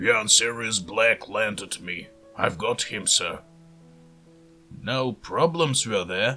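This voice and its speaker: In a put-on character voice, a man speaks at medium pitch and a very slow pace. He leaves long, frequent pauses while faint music plays in the background. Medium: read story. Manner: rough, ungrammatical speech.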